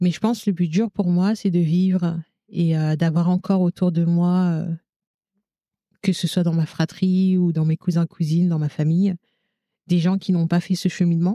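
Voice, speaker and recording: A woman's fairly low, dark, mellow voice at a moderate pace, monotone and flat, very even in loudness, with long, frequent pauses and a dry, close sound with no echo. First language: Lingala (speaking French). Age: 30s. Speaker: childcare worker and mother. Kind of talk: podcast interview testimony.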